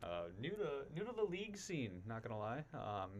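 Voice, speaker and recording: A man speaks quietly at a medium pitch. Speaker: college esports player. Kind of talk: live esports stream chat.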